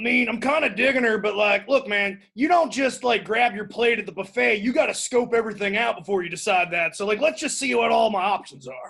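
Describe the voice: Doing a put-on character voice, a man talks at a fairly quick pace in a high pitch, with a fairly bright tone, vocal fry, a slightly husky edge and ordinary pitch variation. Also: few pauses.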